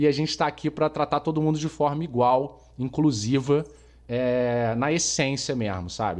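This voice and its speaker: With a quiet background, a man in a normal speaking voice talks at a moderate pace, fairly high-pitched and with lively intonation. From Brazil, Rio de Janeiro. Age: 40s. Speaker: podcast host, marketing professional. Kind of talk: casual chat.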